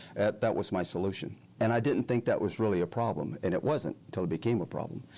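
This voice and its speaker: Very fast speech from a man in a Southern US accent, fairly low in pitch, dark and mellow in tone, with ordinary pitch variation. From Alabama. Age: 60s. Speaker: recovering alcoholic, retired pharmacist. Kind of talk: testimony interview. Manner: halting.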